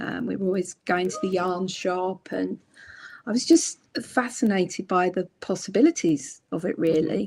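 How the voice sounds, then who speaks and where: In a British accent, a woman with a medium pitch speaks at a moderate pace. Her pitch varies in an ordinary way, and some vocal fry comes through. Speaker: crochet book author. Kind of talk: casual interview chat. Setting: live stream.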